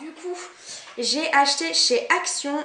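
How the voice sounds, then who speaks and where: A woman with a slight Belgian accent speaks at a very slow pace. Audible room echo and noticeable background noise surround her. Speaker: beauty and fashion vlogger. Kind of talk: haul video, casual talk to camera. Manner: casual, hesitant with many fillers.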